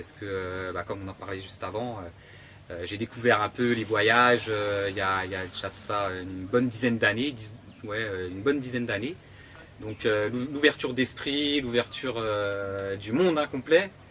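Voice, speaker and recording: A man's fairly low voice at a moderate pace, with ordinary pitch variation and big swings in loudness. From Burgundy, France (near Dijon). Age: 30s. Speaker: construction tradesman. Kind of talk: interview. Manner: halting, many hesitations.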